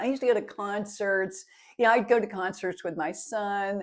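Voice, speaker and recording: With an American accent, a woman speaks in an unremarkable speaking voice at medium pitch and moderate pace with ordinary pitch variation, on a very clean recording with a silent background. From United States. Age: 60s. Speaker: lifestyle vlogger. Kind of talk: casual vlog monologue.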